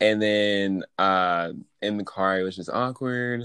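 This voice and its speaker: A man with a normal speaking voice, fairly low pitch and fairly even intonation against a quiet background. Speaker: podcast co-host. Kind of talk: casual chat.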